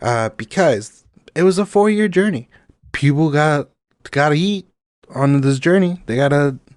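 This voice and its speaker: Speaking with a Spanish accent, a man with a fairly high pitch uses lively intonation and an animated tone at a moderate pace, with long, frequent pauses in a dry, close sound with no echo. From Mexico. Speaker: podcast host. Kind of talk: casual chat.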